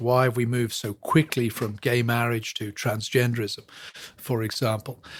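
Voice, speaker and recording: A man with an English accent speaks at a medium pitch, his voice somewhat breathy. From England. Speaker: professor and church historian. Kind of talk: interview.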